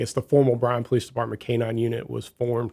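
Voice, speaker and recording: The speaker has a Midwestern accent and a monotone, flat intonation. The recording is very clean, with a silent background. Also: man. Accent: non-Texan, Midwestern. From US Midwest, Southern Illinois. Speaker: police chief. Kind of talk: radio interview.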